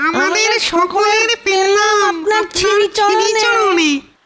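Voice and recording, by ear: This cartoonish character voice is extremely high and squeaky. It moves at a fairly slow pace.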